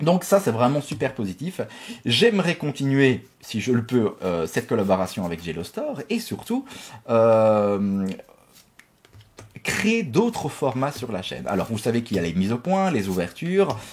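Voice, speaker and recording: Pitched at a medium level, a man makes very wide pitch swings. He speaks at a fairly slow pace. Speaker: YouTuber opening Pokémon card boosters. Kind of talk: casual pack-opening vlog. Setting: home office.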